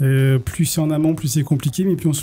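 Very fast speech from a man keeps a fairly even intonation. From western France, Cholet. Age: 40s. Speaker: municipal election candidate. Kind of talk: radio interview.

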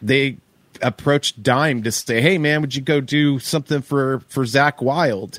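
In a dry, close sound with no echo, a man talks at a fairly slow pace in an unremarkable speaking voice. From Oklahoma. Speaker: touring stage manager and interview show host. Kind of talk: casual interview chat.

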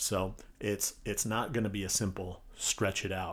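A man with a fairly low, somewhat breathy voice speaks at a very slow pace in a flat monotone. The recording is very clean, with a silent background. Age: 40s. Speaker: physical therapist and podcast host. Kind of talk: casual solo podcast monologue. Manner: casual, filler-heavy.

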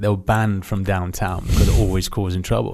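A man speaks with a southern English accent. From southern England (Aldershot, Hampshire). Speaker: former special forces soldier. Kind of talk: casual interview.

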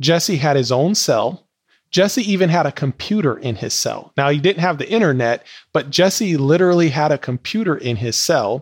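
He has a plain, everyday voice, fairly high for a man, with lively intonation at a moderate pace. The sound is dry and close, with no echo. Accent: American. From Wisconsin, Milwaukee. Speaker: entrepreneur and educator. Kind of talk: interview testimony.

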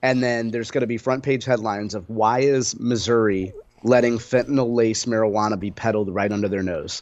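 A man with an ordinary speaking voice talks at a medium pitch and a fairly quick pace. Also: fairly even intonation. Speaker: radio host. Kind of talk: casual chat.

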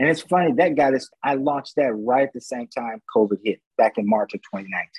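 A man speaks at a moderate pace with a medium pitch and hardly any pauses. He has a plain, everyday voice and lively intonation. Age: 50s. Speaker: motivational speaker. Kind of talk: interview.

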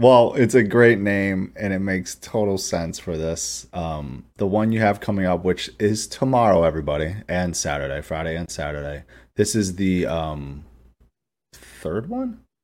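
A man with a very deep, low pitch and ordinary pitch variation speaks at a moderate pace. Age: 30s. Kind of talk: casual interview. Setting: video call.

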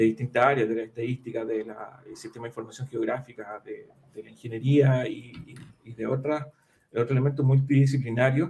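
A man talks at a fairly quick pace with a medium pitch. His delivery is monotone and flat, and somewhat breathy. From Chile, Concepción area. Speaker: data analytics consultant and accountant. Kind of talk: interview. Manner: halting, frequent fillers.

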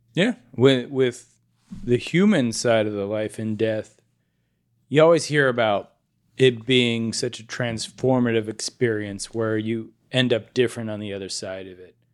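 A man with an unremarkable speaking voice talks with fairly even intonation but big swings in loudness. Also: medium pitch for a man, fairly slow pace. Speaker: podcast co-host. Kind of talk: casual chat.

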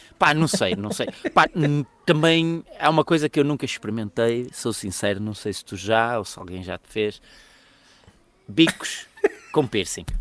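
With a European Portuguese accent, the speaker uses very wide pitch swings and big swings in loudness, leaving long, frequent pauses in a dry, close sound with no echo. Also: man, medium pitch for a man, moderate pace. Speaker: podcast co-host. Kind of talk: casual chat.

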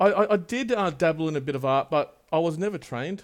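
An Australian accent marks this man's speech, which has ordinary pitch variation on a very clean recording with a silent background. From Australia, Wollongong and Sydney. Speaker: tattoo artist and studio owner. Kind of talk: casual chat. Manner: halting, many fillers.

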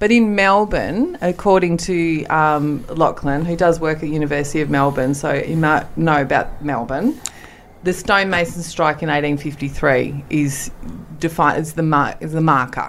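Over noticeable background noise, a woman speaks with a very deep, low pitch. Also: ordinary pitch variation, moderate pace. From rural Western Australia. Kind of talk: casual chat.

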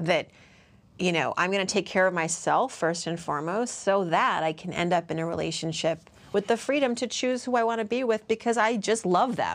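Lively intonation runs through a plain, everyday voice delivered at a fairly quick pace. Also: woman, medium pitch for a woman. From US Northeast, Worcester, Massachusetts. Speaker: personal finance author and TV commentator. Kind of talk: casual interview chat.

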